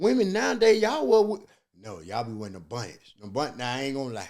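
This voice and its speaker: A man talks at a very fast pace with very wide pitch swings. The recording is very clean, the background silent. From US South. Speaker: comedian. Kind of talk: casual chat. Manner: animated.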